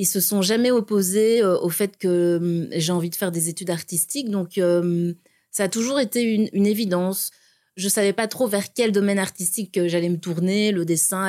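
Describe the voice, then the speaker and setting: A woman speaks at a moderate pace with a dark, mellow tone and very even loudness. Her pitch is medium, with ordinary variation. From Burundi, then Belgium from age ten. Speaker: visual artist. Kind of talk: interview.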